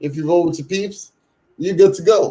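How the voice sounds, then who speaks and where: A man's high voice with a dark, mellow tone, ordinary pitch variation and a fairly quick pace. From Trinidad. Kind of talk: casual chat.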